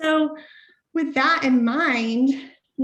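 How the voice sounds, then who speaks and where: A woman with a Southern Appalachian accent speaks at a high pitch with ordinary pitch variation. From US South, rural Southern Appalachia. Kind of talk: webinar presentation.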